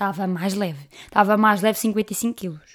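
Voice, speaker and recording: Recorded very cleanly with a silent background, a woman with a European Portuguese accent speaks at a moderate pace in an animated tone. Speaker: podcast host. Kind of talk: casual monologue.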